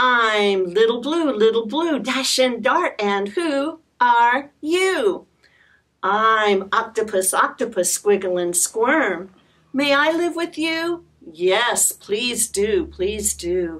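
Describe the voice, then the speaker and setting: A female-sounding cartoonish character voice, fairly high in pitch for a woman, goes at a very slow pace. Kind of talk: children's puppet show. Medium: puppet show. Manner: cheerful, sing-song.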